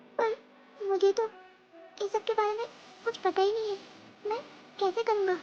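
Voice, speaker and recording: A woman puts on a character voice, extremely high and monotone, with flat intonation. She talks at a fairly quick pace but leaves long, frequent pauses. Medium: voice reel. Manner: flustered, earnest.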